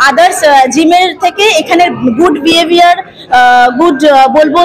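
Speaking at a moderate pace, a woman uses an extremely high pitch. Faint background noise is present.

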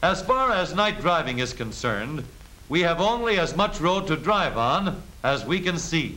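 Against noticeable background noise, a man with a high pitch talks at a moderate pace, his intonation lively and his loudness very even. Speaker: film narrator. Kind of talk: 1930s training film narration, scripted and instructional. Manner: brisk, authoritative, clipped newsreel-style delivery.

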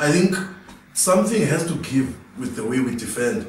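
Light background noise and audible room echo accompany a man speaking at a moderate pace. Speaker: panelist. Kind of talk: panel discussion commentary. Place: studio.

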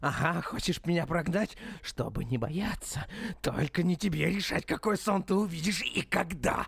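A man's put-on character voice, high in pitch, at a moderate pace and very even loudness. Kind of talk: dramatic video game dubbing. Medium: fan dub. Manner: menacing, gloating, taunting.

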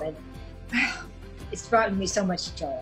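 Clear music sits behind a woman who talks at a moderate pace with lively intonation and an American accent. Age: 80s+. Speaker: social media grandmother. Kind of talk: interview answer. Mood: warm, grateful. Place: home room. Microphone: phone near.

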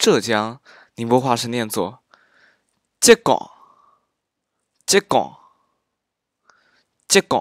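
On a very clean recording with a silent background, a man speaks very slowly with lively intonation and long, frequent pauses. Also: medium pitch for a man, dry, close sound with no echo. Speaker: amateur dialect teacher. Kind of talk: dialect pronunciation lesson.

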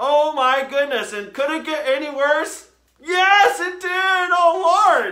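A man's put-on character voice, extremely high-pitched with ordinary pitch variation, bright and sharp in tone, at a slow pace

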